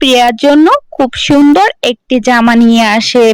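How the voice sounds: A woman speaks at a moderate pace in a high voice. Her tone is clear and smooth.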